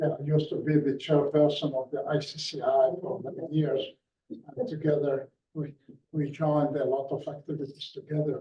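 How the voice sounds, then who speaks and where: This man's voice is somewhat breathy and fairly high in pitch. He keeps a moderate pace and fairly even intonation. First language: not English. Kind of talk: panel response.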